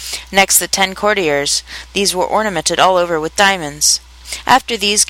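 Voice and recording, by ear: A natural voice reading aloud, pitch varying in an ordinary way.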